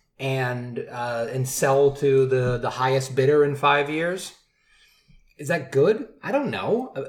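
A man's fairly high, somewhat breathy voice with an American accent and ordinary pitch variation. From Michigan. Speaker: brewery sales director. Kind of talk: casual chat. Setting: in person at a bachelor party.

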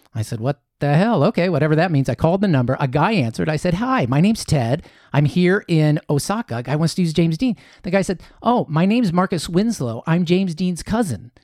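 Someone with a Midwestern American accent speaks at a fairly quick pace with lively intonation. The sound is dry and close, with no echo. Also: man, high pitch for a man. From Columbus, Ohio. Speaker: author and happiness coach. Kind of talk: interview storytelling.

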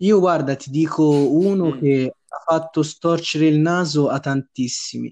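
A man's plain, everyday voice, fairly high in pitch, at a fairly slow pace with fairly even intonation. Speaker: podcast co-host. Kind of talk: casual chat.

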